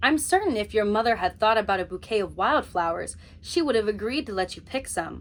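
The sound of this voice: This unforced reading voice carries lively, varied intonation.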